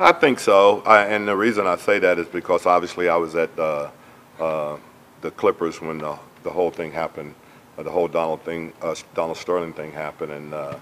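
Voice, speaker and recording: Over noticeable background noise, a man with a very deep, low voice talks fairly quickly with fairly even intonation. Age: 60s. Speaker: basketball head coach. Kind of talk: press conference. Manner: halting, many fillers.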